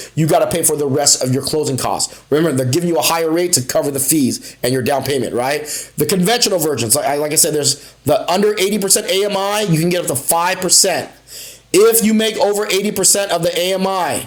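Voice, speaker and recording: At a fairly quick pace, a man speaks in an animated tone at a high pitch with ordinary pitch variation. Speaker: mortgage loan officer. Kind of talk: live stream tutorial. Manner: fast; casual, animated.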